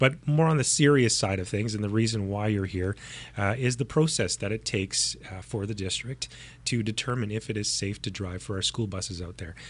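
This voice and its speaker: A man with a Canadian accent speaks at a fairly quick pace in a fairly low, somewhat breathy voice with ordinary pitch variation, over a quiet background. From Canadian prairies. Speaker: podcast host. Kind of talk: interview conversation.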